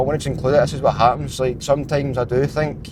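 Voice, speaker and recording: This man has a Scottish accent. His intonation stays fairly even. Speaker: vlogger and fitness coach. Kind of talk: casual vlog monologue. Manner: fast; halting.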